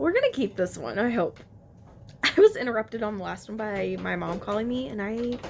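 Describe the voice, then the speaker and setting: A woman talks fairly quickly while noticeable background noise carries on around her. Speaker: cross stitch video blogger. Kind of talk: casual chat. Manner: fast.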